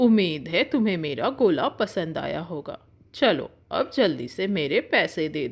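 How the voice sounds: A woman's cartoonish character voice at a fairly low pitch with big pitch swings and a fairly slow pace, on a very clean recording with a silent background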